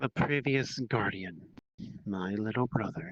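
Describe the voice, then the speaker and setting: Fairly slow delivery in a put-on character voice from a man, at medium pitch. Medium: actual play. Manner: terse, solemn.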